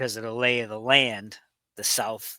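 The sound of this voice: With a Pittsburgh accent, a bright, sharp voice speaks at a fairly slow pace in a dry, close recording with no echo. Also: man. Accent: Pittsburgh regional American.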